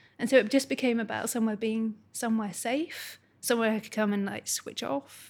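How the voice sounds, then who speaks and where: A woman's fairly high voice at a moderate pace with ordinary pitch variation, on a very clean recording against a silent background. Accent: Scottish. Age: 30s. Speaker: art therapist. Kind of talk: casual chat.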